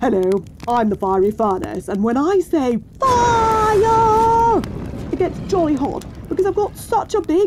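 A put-on character voice speaks at an extremely high pitch and a fairly slow pace. Clear background noise is present. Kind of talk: comic overacting, posh old-fashioned exclamations. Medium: comedy sketch. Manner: excitable, jolly, eccentric.

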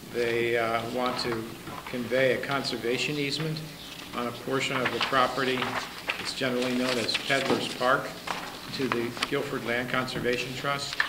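A man speaks at a moderate pace. Loud background noise runs behind him. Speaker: applicant's representative at a public meeting. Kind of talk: public meeting discussion. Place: meeting room. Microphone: camera far.

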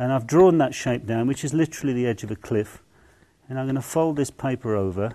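Talking at a very fast pace, a man with an English accent has a medium pitch and ordinary pitch variation. His tone is dark and mellow, and the background is quiet. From England. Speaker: artist. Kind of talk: tutorial. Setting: outdoors. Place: hall. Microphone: lapel.

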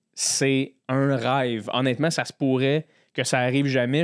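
A man in a Quebec accent at medium pitch, at a fairly slow pace against a quiet background. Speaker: podcast host and comedian; podcast host, comedian. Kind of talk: casual interview. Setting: studio. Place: studio. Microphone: studio mic.

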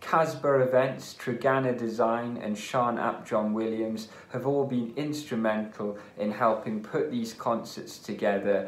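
Speaking fairly slowly with fairly even intonation, a man's voice carries an audible room echo. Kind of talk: concert introduction address. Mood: warm, friendly. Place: home room. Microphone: phone near.

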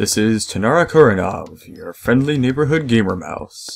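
A man's put-on character voice at medium pitch, lively in intonation, at a moderate pace. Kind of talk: radio announcer.

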